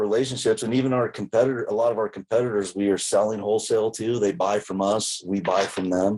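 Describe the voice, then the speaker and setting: A man talks at a moderate pace in a plain, everyday voice with a fairly low pitch. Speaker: podcast host, storage company owner. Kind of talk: casual podcast conversation.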